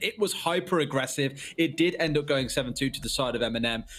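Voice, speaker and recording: A man with a British accent, fairly high-pitched, fairly quick, with ordinary pitch variation. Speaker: esports caster. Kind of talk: live commentary.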